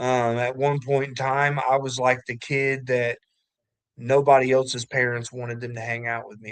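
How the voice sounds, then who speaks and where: With a slight Kentucky accent, a man speaks at medium pitch in a monotone, flat intonation. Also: big swings in loudness. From southwest Ohio, Kentucky family. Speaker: recovering addict sharing testimony. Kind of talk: testimony.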